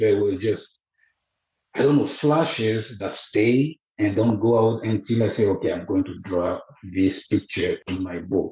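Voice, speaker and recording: A man talks at a fairly slow pace in a fairly low, somewhat breathy voice. His pitch varies in an ordinary way. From Côte d'Ivoire. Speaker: author. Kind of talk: interview. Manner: halting.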